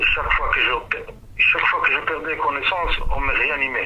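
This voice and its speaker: A man holds a moderate pace while noticeable background noise and audible room echo fill the recording. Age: 50s. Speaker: prisoner giving testimony. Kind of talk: testimony. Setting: phone call.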